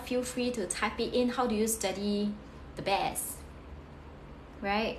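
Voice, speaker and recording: Noticeable background noise and audible room echo surround a woman whose fairly high pitch shows ordinary pitch variation. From Singapore. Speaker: career coach, former tutor. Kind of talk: live stream study tips talk. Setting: live stream. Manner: fast.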